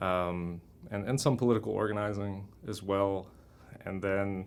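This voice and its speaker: A man speaks in a Mid-Atlantic American accent. His pitch is fairly low. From Washington DC area / Maryland, Brazilian-born. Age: 30s. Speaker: permaculture activist. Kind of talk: oral history interview. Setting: recording studio.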